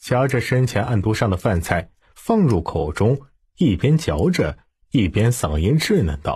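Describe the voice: The voice swings widely in pitch, with a slightly mellow tone and a husky, rough edge, on a very clean recording with a silent background. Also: man, fairly low pitch for a man, fairly slow pace.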